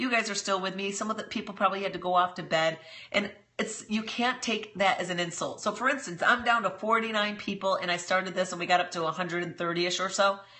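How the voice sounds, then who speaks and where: Over noticeable background noise, a woman with an American accent speaks very fast at a medium pitch, her intonation fairly even. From New York. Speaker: business coach. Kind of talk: live stream tutorial. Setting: live stream broadcast. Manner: casual, slangy.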